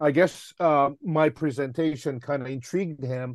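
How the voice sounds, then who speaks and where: A man's fairly high voice with a Japanese accent against a quiet background. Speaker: film director. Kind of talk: casual interview. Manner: halting, many filler words.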